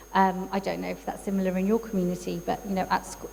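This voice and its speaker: A woman talks in a mid-range pitch. Clearly audible noise fills the background. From England. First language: Urdu. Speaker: psychologist and neurodiversity coach. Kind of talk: talk at a workshop. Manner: many fillers and hesitations.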